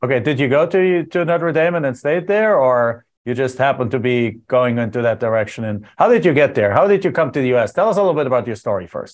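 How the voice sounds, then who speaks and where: Very fast speech in a German accent, with very wide pitch swings and hardly any pauses. The background is quiet. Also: man, medium pitch for a man. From Germany. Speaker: podcast host, real estate investor. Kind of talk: interview.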